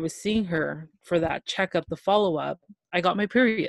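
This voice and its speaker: A woman with an ordinary speaking voice and a Canadian accent talks at a medium pitch and moderate pace with ordinary pitch variation, in a dry, close sound with no echo on a very clean recording with a silent background. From Toronto, Ontario, Canada. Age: 20s. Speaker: guest sharing health story. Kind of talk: casual interview, personal testimony.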